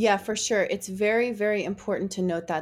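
A woman with an American accent has a normal speaking voice and fairly even intonation. She talks at a fairly quick pace in a very clean recording with a silent background. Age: 40s. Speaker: podcast host. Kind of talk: casual interview chat.

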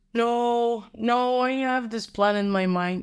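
A woman speaks with a Polish accent and fairly even intonation. The recording is very clean, with a silent background. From Poland, Warsaw. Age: 20s. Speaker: university graduate. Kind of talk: casual chat.

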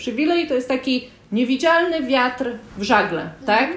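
A woman speaks at a high pitch with lively intonation. Noticeable background noise is present. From Poland. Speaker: podcast co-host. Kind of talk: conversational discussion.

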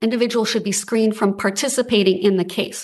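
Against a quiet background, a woman uses a normal speaking voice at a medium pitch, fairly quick in pace with fairly even intonation. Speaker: state appellate attorney. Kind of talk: oral argument before a court. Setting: courtroom.

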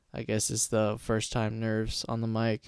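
With a Californian accent, a man talks at a fairly slow pace in a fairly low pitch, captured in a very clean recording with a silent background. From California, Stockton. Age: young. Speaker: podcast host. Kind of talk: casual monologue. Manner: halting, many fillers.

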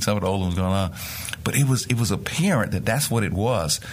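With an American accent, a man with a very deep, low voice speaks very fast over noticeable background noise and audible room echo. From rural Mississippi, US South. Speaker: nonprofit executive. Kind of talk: interview.

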